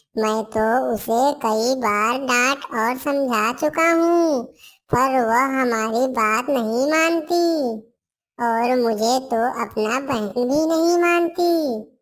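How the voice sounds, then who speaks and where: A female-sounding cartoonish character voice, high in pitch and very slow, in a very clean recording with a silent background. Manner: soft, gentle.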